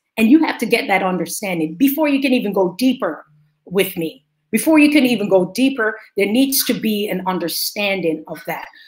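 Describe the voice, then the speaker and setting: A woman speaks at a fairly quick pace with lively intonation, a somewhat breathy quality and a medium pitch. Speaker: business coach and event organizer. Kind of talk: interview. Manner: animated.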